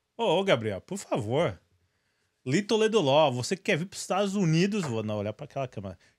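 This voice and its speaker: Against a quiet background, a man talks at a fairly quick pace with very wide pitch swings and big swings in loudness. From Brazil. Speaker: podcast host. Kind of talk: sponsor read. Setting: studio livestream. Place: studio. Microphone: studio mic.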